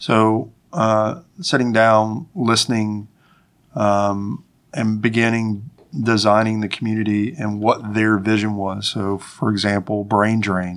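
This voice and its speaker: With a slight Appalachian accent, a man talks at a very slow pace in a fairly low pitch, his intonation fairly even. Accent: Southern US, slight Appalachian. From Winston-Salem, North Carolina. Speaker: farm network coordinator. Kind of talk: casual interview conversation.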